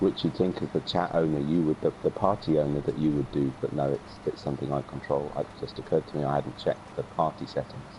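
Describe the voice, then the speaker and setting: Noticeable background noise sits behind this recording. A man talks very fast at a very deep, low pitch. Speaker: gaming streamer. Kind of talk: casual gaming chat.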